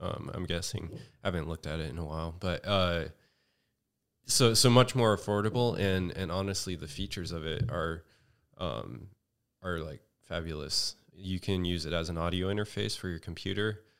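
In an American accent, a man with a very deep, low voice speaks at a moderate pace. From Northern California, Redding. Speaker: film sound engineer. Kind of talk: casual chat. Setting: studio. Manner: monotone.

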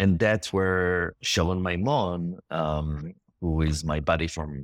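A man speaks with an Israeli accent in a very deep, low pitch. The recording is very clean, the background silent. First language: Hebrew. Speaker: filmmaker. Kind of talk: interview. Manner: halting.

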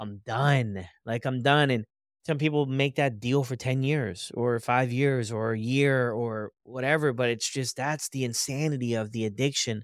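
A man with an American accent and an unremarkable speaking voice talks at a fairly slow pace. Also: medium pitch for a man. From United States. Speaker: podcast host. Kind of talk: casual interview chat.

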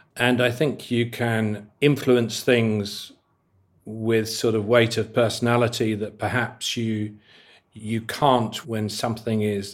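With a British accent, a man speaks very slowly in a flat monotone. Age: 60s. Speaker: hotelier and founder. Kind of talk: interview. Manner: hesitant, filler-heavy.

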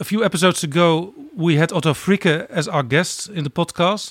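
On a very clean recording with a silent background and a dry, close sound with no echo, a man with a Dutch accent speaks at a moderate pace in a high pitch with ordinary pitch variation. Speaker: podcast host. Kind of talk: interview.

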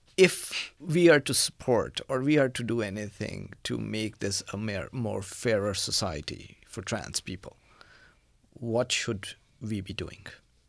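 A man with a fairly low pitch and vocal fry talks at a fairly slow pace, his loudness swinging widely, on a very clean recording with a silent background. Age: middle-aged. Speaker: podcast host. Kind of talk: interview. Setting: studio.

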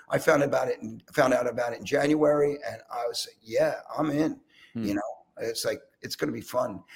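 A man speaks with a Philadelphia accent at a fairly quick pace. His loudness swings widely. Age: 60s. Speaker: rock drummer. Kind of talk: casual chat. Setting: video call.

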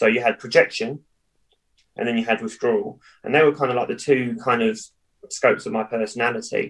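A man with a southern English accent talks at a fairly quick pace. His delivery has long, frequent pauses. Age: 30s. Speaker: cheerleading coach and businessman.

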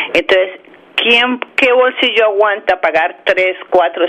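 Over clear background noise, a woman's pitch varies in an ordinary way. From Bogotá, Colombia. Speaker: chamber of commerce leader. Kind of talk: interview.

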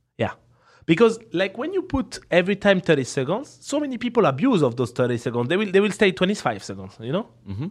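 In a strong French accent, a man speaks at a high pitch with very wide pitch swings. His tone is playful, and the background is quiet. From France. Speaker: professional poker player and streamer. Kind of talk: casual interview. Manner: laughs often, playful.

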